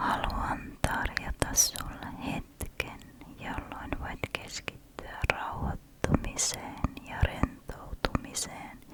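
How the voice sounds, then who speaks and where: Whispering at a very slow pace in a soothing tone, a woman shows big swings in loudness over noticeable background noise. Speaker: ASMR creator. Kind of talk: ASMR relaxation whisper talk. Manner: whispered, slow, soothing.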